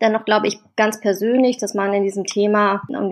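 A woman's medium-pitched voice, monotone and flat, at a fairly quick pace. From Germany, Wuppertal. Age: 30s. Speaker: political youth organization leader. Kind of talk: interview. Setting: remote call.

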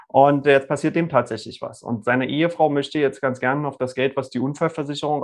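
Against a quiet background, a man speaks in a plain, everyday voice at a fairly high pitch. His pace is fairly quick and his intonation fairly even. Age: 40s. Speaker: lawyer. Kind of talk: casual interview. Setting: video call.

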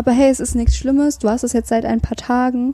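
A woman's dark, mellow voice, somewhat breathy, in a flat monotone. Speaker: mental health podcaster. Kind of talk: personal monologue with self-help tips. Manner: hesitant, many filler sounds.

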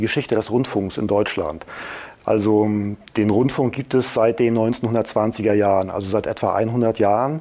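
Over noticeable background noise, a man speaks at a moderate pace. His pitch is medium and his intonation fairly even. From Mecklenburg-Vorpommern, Germany. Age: 40s. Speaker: media regulator director, former radio journalist. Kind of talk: interview.

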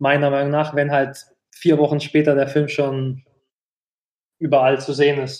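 The man's intonation stays monotone and flat as he speaks at a moderate pace in a fairly high pitch, leaving long, frequent pauses. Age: 30s. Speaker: podcast host. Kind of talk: casual chat.

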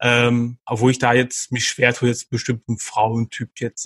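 A man's medium-pitched voice, monotone and flat, in a dry, close recording with no echo. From Ruhr area, Germany (Dortmund). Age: 30s. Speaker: dating podcast guest. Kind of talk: casual interview. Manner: halting, many fillers.

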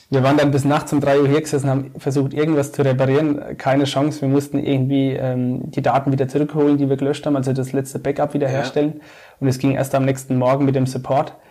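A man with a fairly high voice rattles along very fast in a flat monotone, with hardly any pauses. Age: 30s. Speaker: civil engineering project manager and regional marketplace founder. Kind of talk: casual interview.

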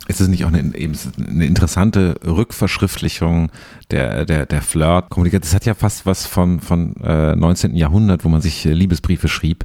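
A man's very deep, low voice, dark and mellow with vocal fry, at a moderate pace with ordinary pitch variation. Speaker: podcast host, culture journalist. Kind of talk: interview. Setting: studio in Berlin.

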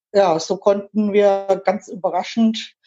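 A woman speaks at a very slow pace. Her medium-pitched voice has a dark, mellow tone. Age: 50s. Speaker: LGBTQ association board member. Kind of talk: interview.

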